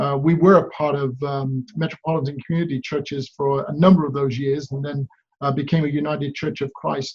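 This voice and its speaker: A man with an English accent speaks at a fairly quick pace in a fairly high pitch. His somewhat breathy voice stays flat and monotone. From England. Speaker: pastor. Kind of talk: prepared video greeting. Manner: hesitant, many fillers.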